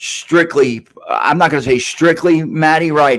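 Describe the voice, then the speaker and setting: A man speaks with a New York accent. His pace is fairly slow. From New York City (Queens). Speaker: podcast host. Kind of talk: casual chat. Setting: live stream. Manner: halting, many fillers.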